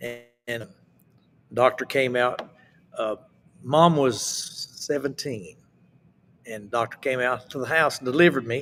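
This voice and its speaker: With an Appalachian accent, a man talks at a fairly slow pace and medium pitch, his pitch varying in an ordinary way while his loudness swings widely and long pauses come often. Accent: Appalachian Southern US. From US South, Appalachian Mountains. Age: 70s. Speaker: southern gospel singer. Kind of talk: interview.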